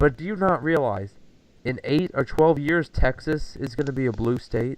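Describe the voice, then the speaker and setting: A moderate pace with ordinary pitch variation. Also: man, fairly high pitch for a man. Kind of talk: casual chat.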